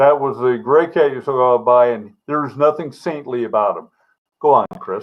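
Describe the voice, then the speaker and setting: With fairly even intonation at a moderate pace, a man uses an unremarkable speaking voice pitched fairly high. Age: 60s. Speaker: retired homicide detective and author. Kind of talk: casual chat. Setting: live stream.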